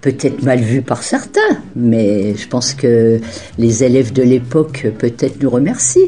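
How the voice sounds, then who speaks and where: Over noticeable background noise, a woman speaks fairly slowly in a very deep, low pitch with fairly even intonation. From France, Champagne (Marne). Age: 70s. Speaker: retired teacher. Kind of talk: testimony. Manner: halting.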